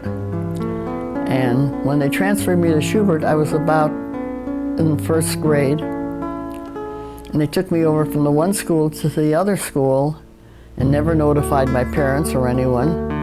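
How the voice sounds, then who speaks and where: Music can be heard behind the voice. The pace is fairly slow. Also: woman. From Germany. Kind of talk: life story interview. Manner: reminiscing, conversational.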